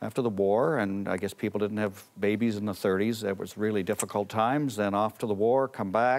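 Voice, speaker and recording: An ordinary speaking voice from a man with a Canadian accent, fairly low in pitch, with fairly even intonation, a fairly quick pace and hardly any pauses. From Canada. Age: 60s. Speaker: pollster and author. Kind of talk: TV interview.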